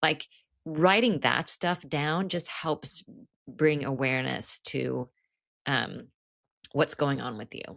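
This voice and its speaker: Very slowly and with long, frequent pauses, a woman speaks in a very deep, low voice with vocal fry and big swings in loudness, recorded dry and close with no echo. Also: ordinary pitch variation. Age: 60s. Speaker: author in recovery. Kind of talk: podcast interview. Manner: casual, conversational.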